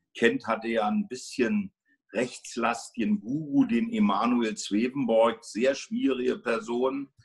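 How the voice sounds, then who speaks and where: A man's medium-pitched voice, very slow, with very wide pitch swings over a quiet background. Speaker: homeopathy teacher and school co-founder; homeopathy teacher. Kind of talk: interview. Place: home room. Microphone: phone near.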